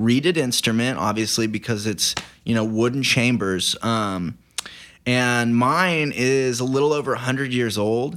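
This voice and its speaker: With an American accent, a man talks at a fairly slow pace in a plain, everyday voice of medium pitch, his loudness very even and his pitch variation ordinary. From Oklahoma (Banner, near El Reno). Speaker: singer-songwriter. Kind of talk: casual interview chat.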